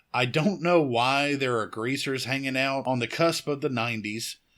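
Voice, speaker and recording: On a very clean recording with a silent background, a man with a Southern US accent speaks at medium pitch and a moderate pace, his tone bright and sharp with ordinary pitch variation. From US South. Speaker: horror podcast host. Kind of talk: film review podcast monologue. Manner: casual.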